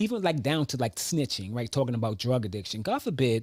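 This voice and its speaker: A man speaks with lively intonation at a medium pitch. The recording is very clean with a silent background and a dry, close sound with no echo. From New York. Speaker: talk show host. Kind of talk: personal monologue about trauma. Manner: conversational, repetitive.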